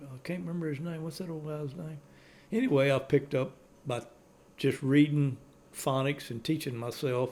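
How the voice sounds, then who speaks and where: A man with a Cajun accent, fairly high in pitch, at a moderate pace with long, frequent pauses. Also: ordinary pitch variation, big swings in loudness. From Louisiana, Cajun community. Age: 70s. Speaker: elderly Cajun storyteller. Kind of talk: casual chat.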